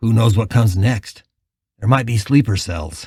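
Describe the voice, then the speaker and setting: In a put-on character voice, a man speaks at a moderate pace and medium pitch, raspy and calm in tone, with ordinary pitch variation on a very clean recording with a silent background. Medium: read story. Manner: calm, steady.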